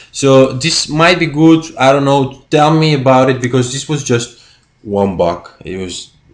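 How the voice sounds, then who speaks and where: A man with a Spanish accent and a fairly high pitch, ordinary pitch variation and a fairly slow pace, over a quiet background. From Spain. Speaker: YouTuber; DVD collector vlogger. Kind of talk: casual vlog. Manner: halting. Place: home room. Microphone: webcam.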